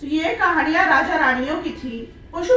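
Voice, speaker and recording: The voice comes with a slight Marathi accent. Audible room echo and noticeable background noise fill the recording. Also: woman. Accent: slight Marathi accent in Hindi. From Maharashtra, Marathwada region. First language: Marathi (speaking Hindi). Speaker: children's literature writer. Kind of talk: conference speech. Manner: formal.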